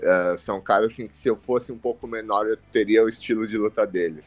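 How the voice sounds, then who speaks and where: A man's plain, everyday voice, fairly low in pitch, at a moderate pace with fairly even intonation. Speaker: professional wrestler. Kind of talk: interview.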